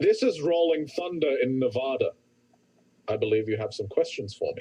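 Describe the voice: Here a man does a gruff, put-on character voice at a fairly high pitch. His pace is moderate.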